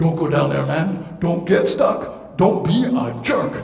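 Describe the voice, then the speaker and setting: In a put-on character voice, a man talks at a fairly slow pace, and a clear echo rings around him. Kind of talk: live storytelling performance for children. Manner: casual, slangy.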